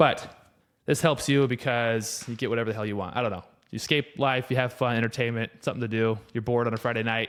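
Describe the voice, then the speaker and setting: A man at a medium pitch and a fairly quick pace. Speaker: podcast host. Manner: casual, rambling.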